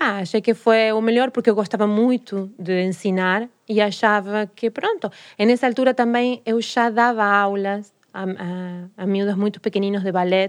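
Speaking with a Spanish accent, a woman uses a medium pitch and fairly even intonation. She leaves hardly any pauses, and the background is quiet. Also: moderate pace. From Argentina, Rosario. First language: Spanish (speaking Portuguese). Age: 40s. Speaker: tango dancer and teacher. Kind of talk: casual interview. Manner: mixes Portuguese and Spanish.

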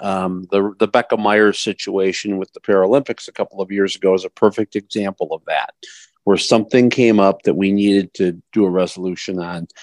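Here a man speaks at a moderate pace with a fairly low pitch, in a normal speaking voice. The sound is dry and close, with no echo. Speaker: vice president and resolutions committee member. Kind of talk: panel explanation and Q&A. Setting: online video call.

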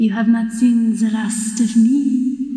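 Doing a put-on character voice, a female-sounding voice speaks at a fairly slow pace in a fairly high pitch, with monotone, flat intonation and a clear echo. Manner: menacing, eerie.

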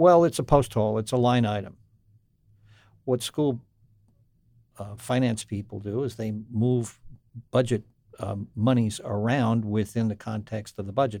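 The pace is moderate, broken by long, frequent pauses. The tone is dark and mellow, with fairly even intonation. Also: man, medium pitch for a man. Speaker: radio podcast host. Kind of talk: interview. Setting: studio.

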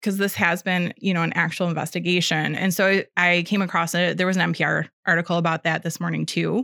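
In a Midwestern American accent, a woman talks very fast with hardly any pauses, vocal fry, monotone, flat intonation and very even loudness. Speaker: podcast co-host. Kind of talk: casual chat.

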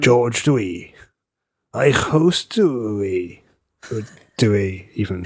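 A man puts on a character voice with a Welsh accent, gravelly and fairly low in pitch. He speaks very slowly in a very clean recording with a silent background.

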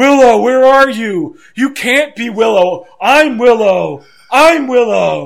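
A man uses a put-on character voice at an extremely high pitch. He speaks at a fairly slow pace. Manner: delirious, frantic, repeating.

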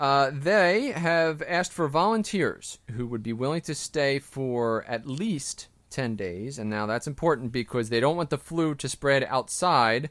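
With a normal speaking voice, a man talks at a fairly slow pace and fairly high pitch, his intonation lively and hardly any pauses between words. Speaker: podcast co-host. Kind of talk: casual banter podcast.

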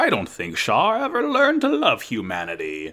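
A put-on character voice from a man, at a moderate pace

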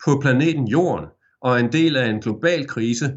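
With an ordinary speaking voice, a man keeps a moderate pace. His intonation is lively. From Denmark, Aarhus. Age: 50s. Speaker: journalist, former radio presenter. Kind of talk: interview.

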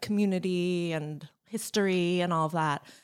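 A woman speaks with a New Jersey accent at a medium pitch. The recording is very clean, with a silent background. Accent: New Jersey American. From New Jersey, US. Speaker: university staff, student affairs. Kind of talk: casual interview. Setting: studio.

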